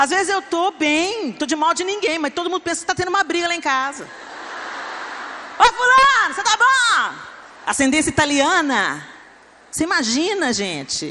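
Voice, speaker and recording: An extremely high-pitched woman speaks in a raised, projected voice with an animated tone and very wide pitch swings. Long, frequent pauses break her speech over noticeable background noise. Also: moderate pace. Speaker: pastor. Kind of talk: sermon. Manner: loud.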